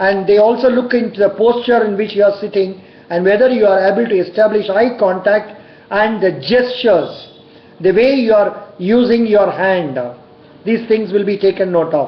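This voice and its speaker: The speech moves at a moderate pace. Noticeable background noise can be heard. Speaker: bank interview coach. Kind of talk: tutorial. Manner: loud.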